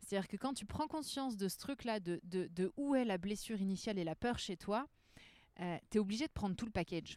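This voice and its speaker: A woman talks at a fairly quick pace with lively intonation and a medium pitch, in an unremarkable speaking voice. The sound is dry and close with no echo. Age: 30s. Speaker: trainer and therapist. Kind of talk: casual chat. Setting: outdoors in a bar garden.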